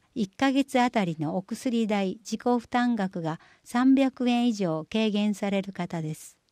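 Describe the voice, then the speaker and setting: A woman speaks very slowly at a medium pitch in a dark, mellow tone, with lively intonation and hardly any pauses. The recording is very clean, dry and close with no echo, against a silent background. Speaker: municipal newsletter reader. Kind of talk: reading aloud.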